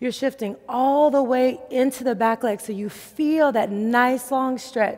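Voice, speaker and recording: Against a quiet background, a woman speaks at a high pitch. Her pace is very slow, with ordinary pitch variation. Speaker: yoga instructor. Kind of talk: guided exercise instruction. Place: gym.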